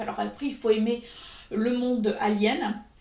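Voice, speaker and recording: A woman's high voice moves at a moderate pace through audible room echo and noticeable background noise. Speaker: beauty YouTuber. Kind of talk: makeup review vlog. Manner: hesitant, many filler sounds.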